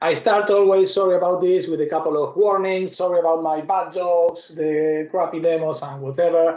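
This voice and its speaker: A man speaks in a dark, mellow tone with a high pitch. His pace is moderate and his intonation fairly even. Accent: Argentine. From Argentina. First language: Spanish. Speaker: software developer and tech speaker. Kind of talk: technical talk with live demo. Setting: video call webinar with screen share.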